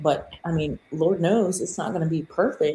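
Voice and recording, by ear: With a dark, mellow tone and a husky, rough edge, a woman speaks at a low pitch with ordinary pitch variation. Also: moderate pace.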